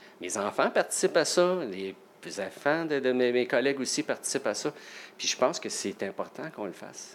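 This man has a plain, everyday voice at medium pitch. He speaks at a moderate pace with lively intonation. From Quebec, Salaberry-de-Valleyfield. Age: 50s. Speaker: nurse and part-time firefighter. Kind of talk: casual interview.

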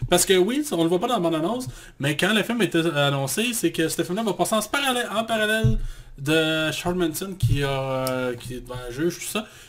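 Pitched high, a man speaks at a moderate pace with very wide pitch swings. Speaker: podcast co-host, film critic. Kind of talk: casual chat.

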